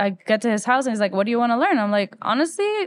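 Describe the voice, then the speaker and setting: A woman with a Spanish accent speaks at a fairly high pitch with lively intonation, in a dry, close sound with no echo against a quiet background. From Ecuador, Quito. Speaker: musician. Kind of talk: interview.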